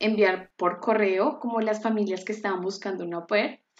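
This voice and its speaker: There is a quiet background as this woman talks with fairly high pitch and normal variation in it. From Colombia (Bogotá). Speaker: cooking apprentice. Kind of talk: interview.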